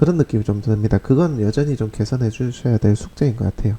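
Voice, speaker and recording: A man speaks in a somewhat breathy voice, recorded dry and close with no echo. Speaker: real estate marketing instructor. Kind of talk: video critique lecture.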